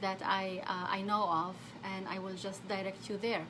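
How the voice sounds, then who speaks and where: A woman talks at a fairly quick pace in a medium pitch. Audible room echo and noticeable background noise surround her. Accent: Arabic. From Saudi Arabia. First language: Arabic. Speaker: therapist. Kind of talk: live stream talk. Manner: halting.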